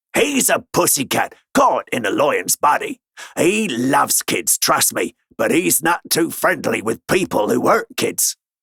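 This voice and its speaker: Using a put-on character voice with a raspy edge, a man talks fairly slowly. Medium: read story. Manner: smooth, wry, self-assured.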